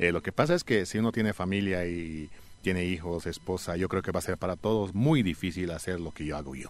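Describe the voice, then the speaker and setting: Over a quiet background, a man with a very deep, low pitch talks at a fairly quick pace with ordinary pitch variation. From Bolivia, Alto Beni (La Paz department lowlands). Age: 40s. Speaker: travel content creator. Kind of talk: interview. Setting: studio.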